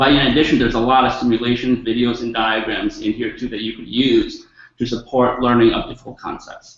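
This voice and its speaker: A man talks with a slight non-native accent. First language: not English. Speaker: educator / webinar presenter. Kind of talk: webinar presentation. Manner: halting, many fillers.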